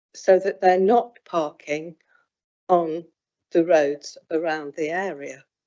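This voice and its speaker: A woman at a very slow pace, her pitch fairly low. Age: 70s. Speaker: local councillor. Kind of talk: committee debate. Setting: council meeting.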